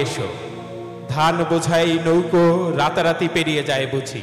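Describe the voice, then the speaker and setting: Music plays in the background as a man speaks. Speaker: poetry reciter. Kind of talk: poetry reading. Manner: emotional, expressive.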